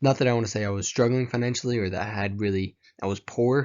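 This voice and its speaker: At a very fast pace, a man talks with a Tennessee accent and fairly even intonation. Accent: Southern US (Tennessee). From US South, rural Tennessee. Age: 20s. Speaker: college student. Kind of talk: class presentation. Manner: hesitant, many fillers.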